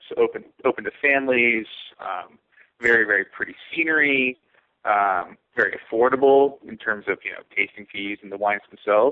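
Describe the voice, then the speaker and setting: A man talks in a West Coast accent with a medium pitch. His pace is moderate and his pitch variation ordinary. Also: big swings in loudness. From California. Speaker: winemaker. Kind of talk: interview.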